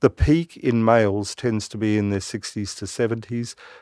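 In a very clean recording with a silent background and a dry, close sound with no echo, a man with an Australian accent speaks at a fairly low pitch. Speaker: doctor. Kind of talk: interview. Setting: studio.

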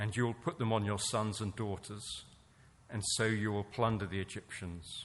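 A man speaks at a moderate pace with an English accent, his pitch fairly low and his intonation fairly even. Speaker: scripture reader. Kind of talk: reading aloud.

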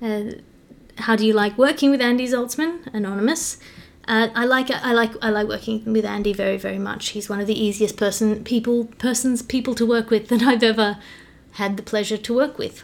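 Fairly high-pitched, a woman speaks at a fairly quick pace with fairly even intonation. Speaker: comedian and podcast host. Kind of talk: solo Q&A podcast, casual monologue. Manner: fast.

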